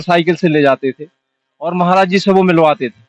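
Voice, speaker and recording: A man with a high pitch talks at a moderate pace, the sound dry and close with no echo. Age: 60s. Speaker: event organizer. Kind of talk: interview.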